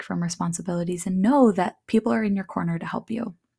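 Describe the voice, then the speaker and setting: A woman speaks at a fairly quick pace in a somewhat breathy, dark and mellow voice of medium pitch, on a very clean recording with a silent background. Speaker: podcast host and purpose coach. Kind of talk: casual solo monologue. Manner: talkative; laughs often.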